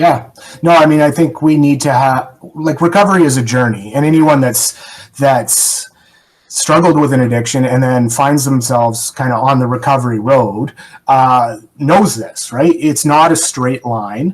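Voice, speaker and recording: Using an ordinary speaking voice, a man with a Canadian accent speaks at a moderate pace with a medium pitch and ordinary pitch variation. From Canada. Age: 40s. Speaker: person in long-term recovery. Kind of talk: podcast interview.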